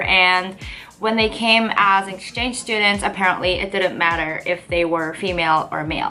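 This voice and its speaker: With a Korean accent, a woman speaks at a moderate pace with fairly even intonation while music plays in the background. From South Korea. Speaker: lifestyle vlogger. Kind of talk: casual vlog talk to camera. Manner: chatty, hesitant with fillers.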